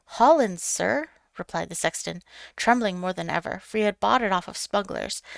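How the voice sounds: Throughout, the voice reads naturally. Nothing about the reading sounds forced.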